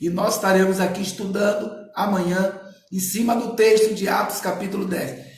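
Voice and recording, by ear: In a put-on character voice, a man talks hoarsely at a high pitch and moderate pace, monotone and flat in intonation, with audible echo.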